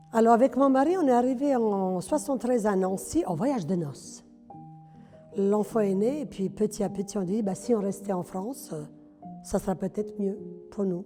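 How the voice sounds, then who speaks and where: With a Yugoslav accent, a woman talks with ordinary pitch variation. She leaves long, frequent pauses while music plays in the background. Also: medium pitch for a woman, moderate pace. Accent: sing-song Yugoslav accent in French. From former Yugoslavia. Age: 70s. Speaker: retired hairdresser, amateur theatre actor. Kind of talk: campaign testimonial interview. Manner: outspoken; hesitant, conversational.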